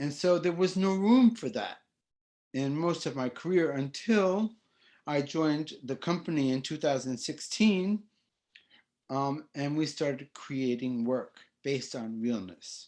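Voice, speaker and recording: A man's fairly high voice, lively in intonation, at a fairly slow pace. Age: 60s. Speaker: ballet dancer, performer. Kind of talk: panel discussion introduction. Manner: halting.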